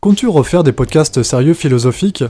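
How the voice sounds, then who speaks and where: A man's voice sits at a fairly high pitch and carries lively intonation. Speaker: YouTuber answering viewer questions. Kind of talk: viewer Q&A monologue.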